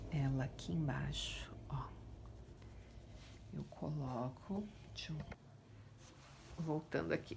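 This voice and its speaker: Soft-spoken, a woman talks at a very slow pace, leaving long, frequent pauses. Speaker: painting teacher. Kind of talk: tutorial.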